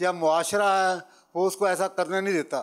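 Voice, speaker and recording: Recorded very cleanly over a silent background, a man speaks with a high pitch and fairly even intonation. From Lahore, Pakistan. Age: 70s. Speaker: audience member asking question. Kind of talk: question to scholar.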